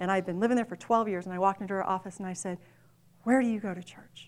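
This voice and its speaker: This is a plain, everyday voice from a woman at medium pitch. She uses ordinary pitch variation on a very clean recording with a silent background. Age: 40s. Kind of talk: testimony.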